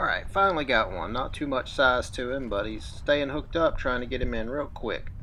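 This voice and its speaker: With an Alabama accent, the speaker talks at a fairly quick pace with hardly any pauses, amid audible room echo. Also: man. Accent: Southern US (Alabama) pronunciation. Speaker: fishing YouTuber. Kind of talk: product review and fishing vlog. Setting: outdoors on a creek. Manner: casual, conversational.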